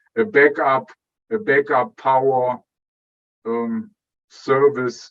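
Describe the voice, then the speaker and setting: Speaking with a German accent, a man lets his pitch vary in an ordinary way. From Germany. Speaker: electrical engineer, product director. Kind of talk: interview. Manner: halting, many fillers.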